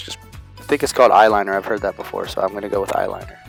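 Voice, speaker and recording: There is music in the background as a man speaks. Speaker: cousin doing the voiceover. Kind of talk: casual improvised voiceover commentary. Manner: joking, casual, playful.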